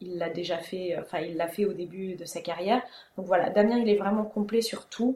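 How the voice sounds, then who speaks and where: An unremarkable speaking voice from a woman at medium pitch, moderate in pace, with big swings in loudness. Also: fairly even intonation. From Alsace, Strasbourg. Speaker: winemaker. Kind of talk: interview.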